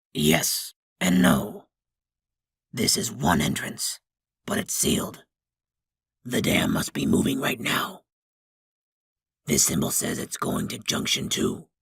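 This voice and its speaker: Using a put-on character voice, a raspy man speaks at a fairly low pitch and a fairly slow pace. Long, frequent pauses break up his delivery. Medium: read story. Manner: knowing, slightly smug.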